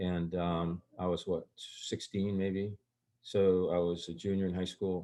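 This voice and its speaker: Against a quiet background, a man with a very deep, low pitch and a dark, mellow tone speaks in a monotone, flat way at a fairly slow pace. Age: 60s. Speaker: guest sharing unusual life experiences. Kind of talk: storytelling interview. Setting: recorded conversation. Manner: halting, with many restarts and fillers.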